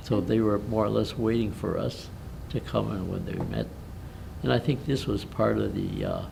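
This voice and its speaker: With an American accent, a man speaks at a moderate pace in a room with audible echo. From Milwaukee, Wisconsin, US Midwest. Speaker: war veteran. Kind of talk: interview. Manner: halting.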